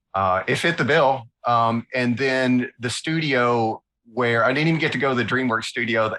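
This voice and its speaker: With a Southern US accent, a man talks at a moderate pace and medium pitch in a bright, sharp tone with ordinary pitch variation, on a very clean recording with a silent background. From US South, north Alabama. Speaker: illustrator. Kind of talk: interview, casual chat. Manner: animated.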